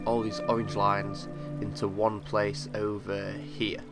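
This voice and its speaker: Fairly slow speech with ordinary pitch variation over music in the background. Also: man. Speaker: Minecraft redstone tutorial maker. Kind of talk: casual gameplay tutorial explanation. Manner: hesitant, filler words.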